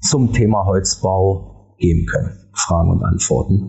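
A man talks slowly, at a fairly slow pace, in an ordinary speaking voice with ordinary pitch variation. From Germany, Berlin. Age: 50s. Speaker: architect and property developer. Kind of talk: podcast interview.

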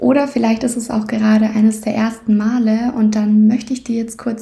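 Her fairly high, somewhat breathy voice has a dark, mellow tone, a soothing, calm tone and a monotone, flat intonation, as this woman speaks. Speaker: podcast host and meditation guide. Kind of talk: guided meditation. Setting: podcast recording, solo. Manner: slow, soothing, calm; gentle, unhurried, with long pauses.

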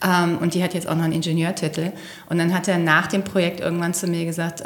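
A fairly low-pitched woman's voice amid noticeable background noise. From Rhineland, Velbert near the Ruhr. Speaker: engineer and executive. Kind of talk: interview.

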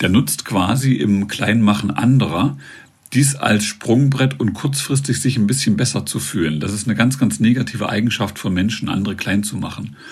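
Over noticeable background noise, a man with a fairly low voice speaks at a moderate pace with lively intonation. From eastern Germany, northern Thuringia. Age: 50s. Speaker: author and public speaker. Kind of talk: interview.

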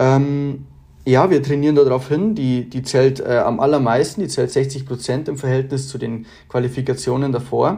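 A man speaks in a Bavarian accent at a moderate pace, his medium pitch carrying fairly even intonation. His tone is dark and mellow and somewhat breathy. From Bavaria, Germany. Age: 20s. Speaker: competitive archer and engineering student. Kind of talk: interview. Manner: hesitant, many filler sounds.

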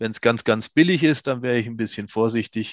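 A man speaks at medium pitch against a quiet background. The sound is dry and close, with no echo. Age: 50s. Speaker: company founder. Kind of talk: interview.

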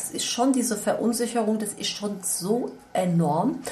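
With noticeable background noise and audible room echo, a woman speaks with ordinary pitch variation. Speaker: podcast co-host, event organizer. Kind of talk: casual chat. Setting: informal setting over coffee, not a studio.

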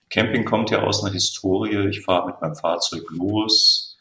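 A man speaks with fairly even intonation at a very deep, low pitch. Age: 50s. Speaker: camping booking platform employee. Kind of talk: casual chat.

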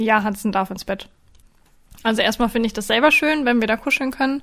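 A woman's fairly high voice with ordinary pitch variation and long, frequent pauses on a very clean recording with a silent background. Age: 20s. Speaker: dog trainer and podcast host. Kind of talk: casual chat.

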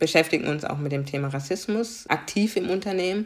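A woman is speaking. She has a slight Baden accent. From Germany, Karlsruhe (Baden). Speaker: diversity coach. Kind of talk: interview.

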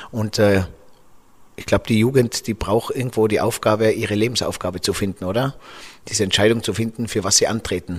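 Here a man speaks at a fairly quick pace with fairly low pitch and fairly even intonation. His voice is somewhat breathy, on a very clean recording with a silent background. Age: 40s. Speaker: podcast host. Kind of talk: interview. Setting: office.

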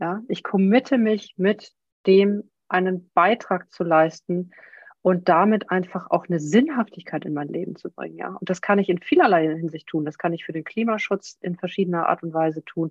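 Her pitch is medium with ordinary variation. The woman keeps a moderate pace. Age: 50s. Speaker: whale researcher and coach. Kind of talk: casual interview. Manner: soft-spoken.

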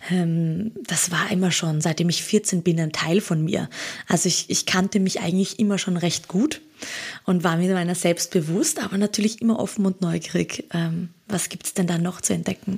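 A woman speaks at a moderate pace in a fairly low pitch. Her intonation is fairly even, with noticeable background noise behind her. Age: 30s. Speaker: holistic coach. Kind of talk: casual interview.

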